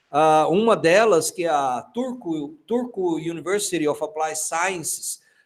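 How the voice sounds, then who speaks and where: A man with a high pitch talks at a fairly slow pace, using lively intonation. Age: 60s. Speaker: university lecturer. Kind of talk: online lecture. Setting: online class platform. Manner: halting.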